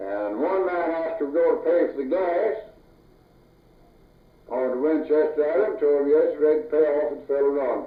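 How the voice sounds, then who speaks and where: Southern US accent on a man with a fairly high pitch, ordinary pitch variation, long, frequent pauses and noticeable background noise. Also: moderate pace. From North Louisiana, USA. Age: 80s+. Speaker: farmer, logger, former deputy sheriff. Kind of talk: oral history interview answer.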